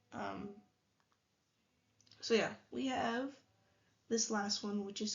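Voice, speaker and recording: A woman talks in a somewhat breathy, fairly high-pitched voice. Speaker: math tutor. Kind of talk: tutorial. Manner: casual.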